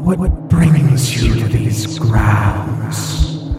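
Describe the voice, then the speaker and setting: A man does a breathy put-on character voice, heard with strong echo and loud background noise. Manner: eerie.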